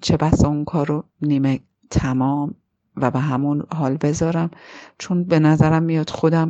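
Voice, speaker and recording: Against a quiet background, a woman with a very deep, low pitch speaks at a moderate pace with fairly even intonation. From Iran, Tehran. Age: 40s. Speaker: film critic and screenwriter. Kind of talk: personal narrative. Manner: halting.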